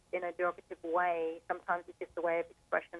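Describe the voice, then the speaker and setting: A woman's fairly low voice with an English accent, at a fairly quick pace, in a dry, close sound with no echo. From England. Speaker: caller. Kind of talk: phone-in discussion. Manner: hesitant, many fillers.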